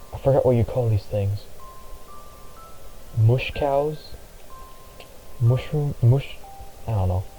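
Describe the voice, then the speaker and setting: A man mumbles at a fairly slow pace, with long, frequent pauses. Music plays in the background. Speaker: gaming vlogger. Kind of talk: casual gameplay commentary. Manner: mumbling. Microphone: poor-sounding mic.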